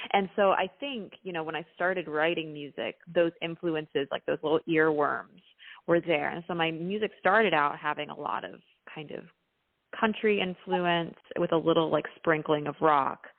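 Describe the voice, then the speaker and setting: In a slight Texan accent, a woman speaks at a moderate pace. Her voice is fairly low, with fairly even intonation. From Texas, Dallas. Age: 20s. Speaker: singer-songwriter. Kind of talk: interview. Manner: casual, with fillers.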